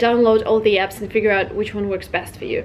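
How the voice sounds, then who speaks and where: Music plays behind a woman whose fairly high voice carries a slight Russian accent. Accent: slight Russian accent, non-native. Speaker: English learning vlogger. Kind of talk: vlog tips talk. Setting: language school in London. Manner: casual, conversational.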